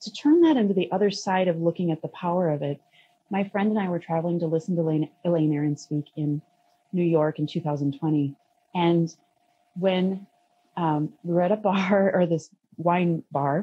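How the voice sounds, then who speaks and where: Her voice fairly low and somewhat breathy, a woman speaks at a moderate pace with fairly even intonation. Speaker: podcast guest. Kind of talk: interview answer. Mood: reflective, occasional laughs. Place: home room. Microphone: video call.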